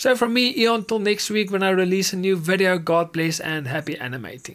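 In a quiet background, a man talks fairly quickly at a high pitch with ordinary pitch variation. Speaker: animation tutorial creator. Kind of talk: tutorial. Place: home room. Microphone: studio mic.

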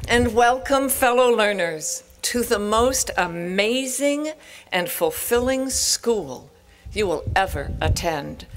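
A woman's lively intonation at a very slow pace, with light background noise. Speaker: professor giving commencement speech. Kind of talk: commencement speech. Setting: stage with audience. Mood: warm, encouraging. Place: open country. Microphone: podium.

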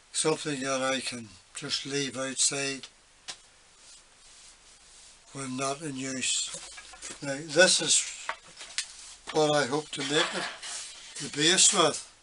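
The voice moves at a very slow pace with fairly even intonation and long, frequent pauses. Noticeable background noise is present. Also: man. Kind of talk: casual workshop tip chat. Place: workshop. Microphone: phone near.

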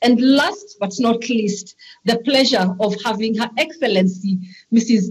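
A woman talks with a somewhat breathy, fairly high voice and ordinary pitch variation. The background is quiet. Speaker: conference chair. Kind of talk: formal conference moderating. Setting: online conference. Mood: formal, courteous. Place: home room. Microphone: video call.

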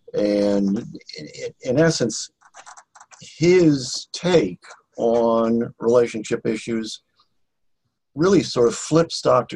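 Long, frequent pauses break up a man's speech. He talks at a very slow pace. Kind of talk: casual group video call. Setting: video call. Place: home room. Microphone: video call.

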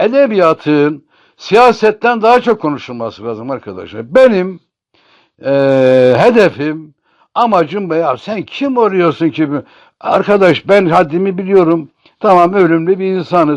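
Against a quiet background, a man speaks in a high voice with very wide pitch swings. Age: 60s. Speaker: poet and columnist. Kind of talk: informal talk to camera on literature. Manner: halting, many filler sounds.

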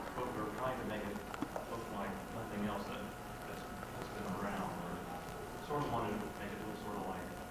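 A man speaking at a fairly slow pace, with loud background noise and audible room echo. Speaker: comic book artist and writer on a convention panel. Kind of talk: convention panel Q&A answer. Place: hall. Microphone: camera far.

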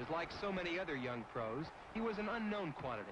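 A man with a high-pitched voice speaks at a fairly quick pace with lively intonation. Noticeable background noise is present. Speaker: boxing newsreel narrator. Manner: fast, urgent, excitable.

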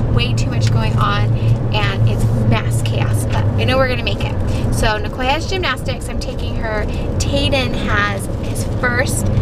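Music can be heard in the background. A woman talks over it at a fairly slow pace. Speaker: parent vlogger driving. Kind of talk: casual vlog chat. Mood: cheerful, a bit harried. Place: car. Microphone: phone near.

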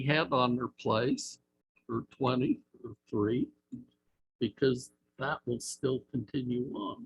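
A man with an American accent speaks fairly slowly, somewhat breathy, at a medium pitch. His intonation stays fairly even. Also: dry, close sound with no echo. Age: 70s. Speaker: planning commissioner. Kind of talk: public meeting discussion.

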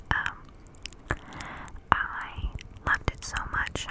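A woman's voice over loud background noise. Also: dry sound with no echo. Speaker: ASMR creator. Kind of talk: soft-spoken ASMR chat. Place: home room. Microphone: studio mic.

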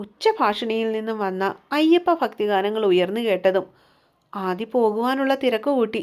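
The background stays quiet while a natural reading voice is heard.

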